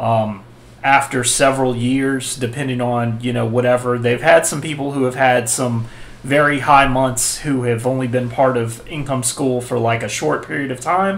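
At a moderate pace, a man delivers the words. The intonation stays fairly even. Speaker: website tutorial host. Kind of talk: tutorial. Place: home room.

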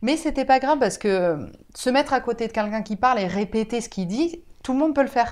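A woman talks at a very fast pace with lively intonation and a high pitch. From France, Bordeaux; France. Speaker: teacher of deaf pupils. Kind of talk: interview. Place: home room. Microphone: lapel.

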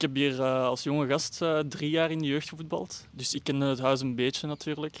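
The sound is dry with no echo as a man speaks at a fairly quick pace in a flat, monotone way. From Flemish Brabant, Belgium (Kortenberg); Flemish Brabant, Belgium. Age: 20s. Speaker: amateur footballer. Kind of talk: interview. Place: stadium. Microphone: handheld.

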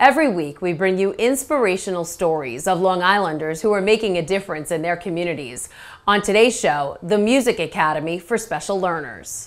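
Speaking at a moderate pace, a woman uses lively intonation. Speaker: TV show host. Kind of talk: news presenter stand-up. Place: classroom. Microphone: lapel.

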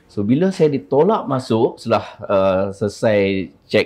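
A man's fairly low-pitched voice. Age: 40s. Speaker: liver donor. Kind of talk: interview testimony. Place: studio. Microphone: lapel.

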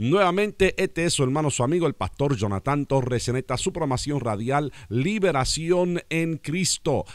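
A man speaks at a moderate pace with very wide pitch swings, in a dry sound with no echo against a quiet background. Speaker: pastor. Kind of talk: prayer and radio announcements. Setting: radio program. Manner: formal. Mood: warm, smiling. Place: studio. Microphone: studio mic.

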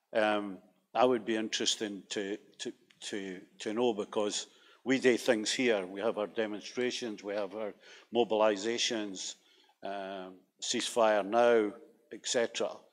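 A fairly low-pitched man at a fairly slow pace, monotone and flat, with long, frequent pauses. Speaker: audience member. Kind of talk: audience question. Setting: stage with audience. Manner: halting. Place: hall.

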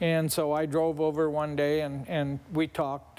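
At a fairly slow pace, a man with an American accent speaks in a flat, monotone way at a fairly high pitch. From rural eastern Washington State, US. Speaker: funeral director, cancer survivor; interview guest. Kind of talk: testimony. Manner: halting. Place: studio. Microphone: lapel.

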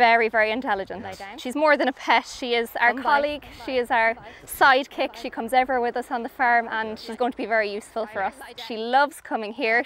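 A woman talks very fast at a high pitch with fairly even intonation. The sound is dry with no echo, over light background noise. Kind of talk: interview answer. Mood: warm, fond of her dog. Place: farm machine.

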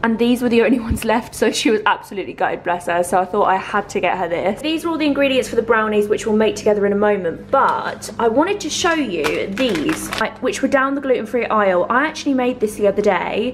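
A woman speaks at a fairly quick pace and medium pitch with lively intonation and few pauses, over faint background noise.

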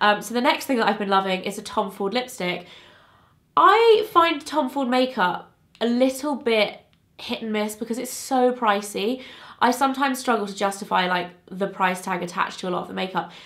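A woman with a British accent speaks at a moderate pace, her pitch fairly high and her intonation lively. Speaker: beauty vlogger. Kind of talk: casual chat. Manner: chatty, informal.

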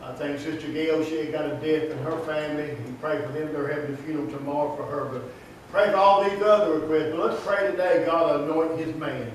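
Talking at a very fast pace, a man with a fairly high pitch and ordinary pitch variation is heard in strong room echo with light background noise. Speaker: church pastor. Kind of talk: casual church announcements and prayer. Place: church. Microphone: camera far.

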